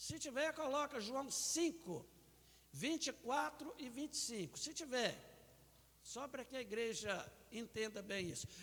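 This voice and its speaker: A man speaks at an extremely high pitch in a raised, projected voice. His intonation is lively and his pace moderate. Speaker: pastor. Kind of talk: sermon. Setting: church.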